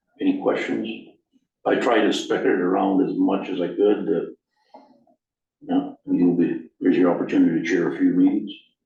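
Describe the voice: Moderate pace from a man with a dark, mellow tone, fairly even intonation and audible room echo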